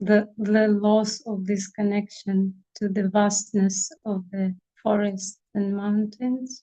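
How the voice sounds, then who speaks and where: A woman's somewhat breathy voice at medium pitch, dark and mellow in tone, monotone and flat, at a very slow pace. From Siberia, Russia. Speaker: family constellation practitioner. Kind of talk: casual chat.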